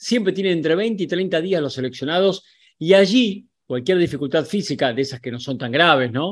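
A man talks in a high voice with lively intonation. His pace is moderate, and the background is quiet. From Argentina. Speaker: sports journalist. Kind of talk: video commentary to camera; commentary. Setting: on location in Qatar. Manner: animated.

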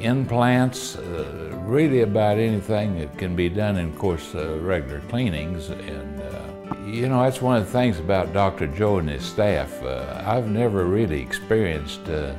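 Over clear background music, a man talks at a fairly low pitch with lively intonation and hardly any pauses. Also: moderate pace. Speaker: dental patient. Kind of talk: interview answer. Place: office. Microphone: lapel.

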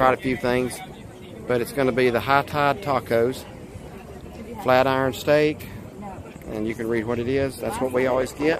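Talking at a fairly quick pace with fairly even intonation, a man sounds dry with no echo, though noticeable background noise is present. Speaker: restaurant reviewer. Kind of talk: casual vlog chat. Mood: relaxed, friendly. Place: cafe. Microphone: phone near.

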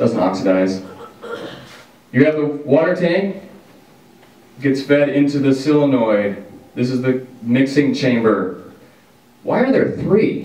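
In an American accent, a man with a medium-pitched voice speaks very slowly, with lively intonation and long, frequent pauses. The room echo is audible. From Washington, US. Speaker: podcast co-host. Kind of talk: casual chat.

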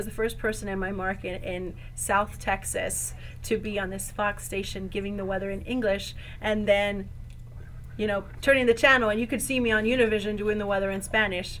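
A woman talks at a fairly quick pace with fairly even intonation. Light background noise is present. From Texas, Mexican-American. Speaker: TV meteorologist. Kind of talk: interview answer. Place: home room. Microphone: lapel.

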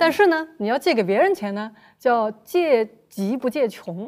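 A woman with a fairly high pitch talks with lively intonation against a quiet background. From Shanghai. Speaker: guest commentator. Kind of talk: roundtable discussion. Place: studio. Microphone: lapel.

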